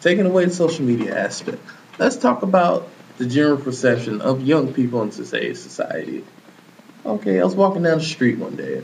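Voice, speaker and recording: There is noticeable background noise. Through it, a man can be heard talking. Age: 20s. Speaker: podcast host. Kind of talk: casual panel debate.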